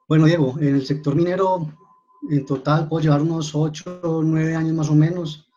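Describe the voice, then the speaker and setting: A man speaks in a fairly high pitch with monotone, flat intonation. Music plays in the background. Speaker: mining formalization coordinator. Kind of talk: webinar presentation.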